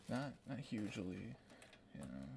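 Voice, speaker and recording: The man whispers. He goes at a fairly slow pace. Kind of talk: ASMR whispering. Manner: whispered.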